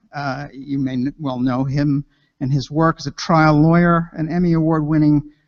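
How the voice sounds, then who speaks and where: A man with an unremarkable speaking voice and fairly high pitch talks at a fairly quick pace. His intonation is fairly even, and the sound is dry and close with no echo. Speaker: event host. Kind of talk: speaker introduction at conference.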